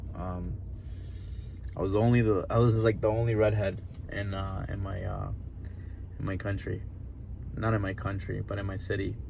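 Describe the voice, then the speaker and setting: A man with an American accent speaks at a fairly low pitch and a moderate pace, taking long, frequent pauses. His intonation is monotone and flat, with audible room echo. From Honduras, then New Jersey from age seven. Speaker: vlogger. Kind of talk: personal testimony. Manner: casual, many fillers.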